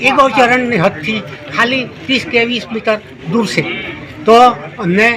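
A man projects his voice at an extremely high pitch with ordinary pitch variation. Noticeable background noise runs beneath it. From south Gujarat, India. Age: 70s. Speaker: farmer. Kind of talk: news interview statement.

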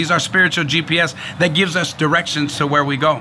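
Speaking with an American accent, a man with a fairly high pitch and ordinary pitch variation is heard over light background noise. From San Francisco, California. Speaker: pastor; speaker. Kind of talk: sermon. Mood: earnest, warm testimony. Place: street.

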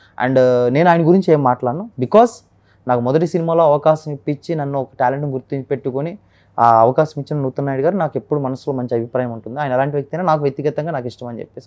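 Fairly high-pitched man with ordinary pitch variation and big swings in loudness, against a quiet background. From West Godavari, Andhra Pradesh, India; Andhra Pradesh. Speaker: mimicry artist; interview guest. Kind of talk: interview. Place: studio. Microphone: lapel.

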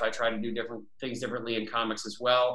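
A man with a bright, sharp tone speaks at a medium pitch. Audible room echo surrounds him, though the background is quiet. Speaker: comic book writer. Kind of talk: interview host talk. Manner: casual, hesitant. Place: home room. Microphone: webcam.

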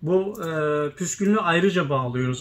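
At a moderate pace, a man speaks with ordinary variation in pitch. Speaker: tespih shop owner and video host. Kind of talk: casual chat. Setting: inside a shop. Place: workshop. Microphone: phone near.

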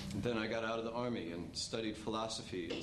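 A man with a medium-pitched voice talks at a very fast pace, with audible room echo and light background noise. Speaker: army veteran. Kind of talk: stage storytelling performance. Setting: stage with audience. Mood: reflective, sincere. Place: stage.

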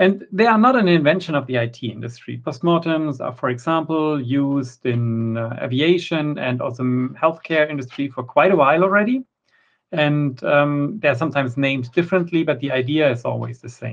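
At a moderate pace and with ordinary pitch variation, a man speaks over a quiet background. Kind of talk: conference talk.

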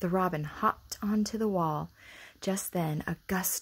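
An unforced reading voice, pitch rising and falling in an ordinary way

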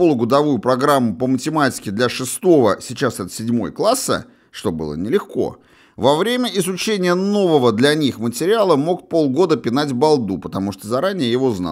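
In a very clean recording with a silent background, a man with a fairly high pitch speaks at a moderate pace, his voice swinging very widely in pitch. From Russia, St Petersburg. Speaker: author and audiobook narrator. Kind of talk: audiobook memoir reading, first-person recollection of 1980s school days. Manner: measured, conversational storytelling with wry asides.

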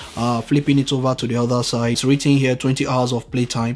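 A man is speaking. His intonation stays monotone and flat. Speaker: tech reviewer. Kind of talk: unboxing tutorial commentary. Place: home room.

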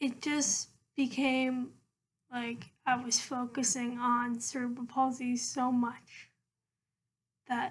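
Very slow, monotone, flat delivery from a woman with a high pitch. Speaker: vlogger. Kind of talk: casual vlog monologue. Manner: hesitant, many fillers. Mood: calm, reflective. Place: home room. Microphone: laptop webcam; webcam.

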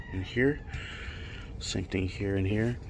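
Light background noise runs under a man's fairly low voice. He speaks at a fairly slow pace with fairly even intonation. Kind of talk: casual tutorial vlog. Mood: joking, relaxed. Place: street. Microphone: phone near.

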